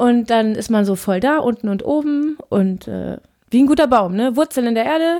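This woman's voice is high-pitched, with a dark, mellow tone. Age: 20s. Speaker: podcaster, law trainee. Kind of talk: solo monologue. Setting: home office. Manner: fast; animated.

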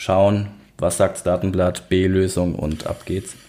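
With a fairly low pitch, this man's voice proceeds at a fairly slow pace. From Worms, Rhineland-Palatinate, Germany. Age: 30s. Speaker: podcast host. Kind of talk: casual chat.

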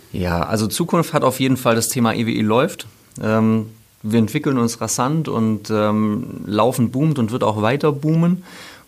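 At a fairly slow pace, a man speaks at medium pitch with ordinary pitch variation and very even loudness. Noticeable background noise can be heard. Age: 40s. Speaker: sponsoring manager and running coach, former pro athlete. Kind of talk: casual interview chat. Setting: studio.

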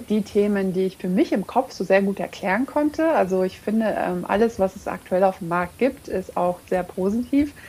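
With lively intonation and a dark, mellow tone, a woman speaks at medium pitch and a moderate pace. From Romania, Hungarian border region; raised in Lower Bavaria from age 7. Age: 30s. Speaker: coaching client and entrepreneur. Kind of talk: interview. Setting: remote recording from home.

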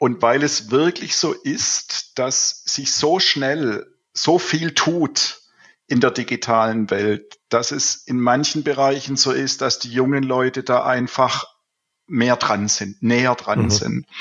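In a Swabian accent, a man speaks at a very slow pace with a medium pitch and ordinary pitch variation. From Swabia, southern Germany. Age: 50s. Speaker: IT consultant and business owner. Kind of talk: casual interview. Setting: remote call from home office. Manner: halting, many filler sounds.

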